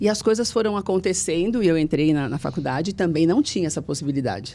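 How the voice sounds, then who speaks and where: A woman talks at a fairly quick pace with lively intonation. Her voice is fairly low in pitch, with a dark, mellow tone. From Brazil, São Paulo metro area (Mauá). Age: 50s. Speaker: TV journalist. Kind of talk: interview testimony.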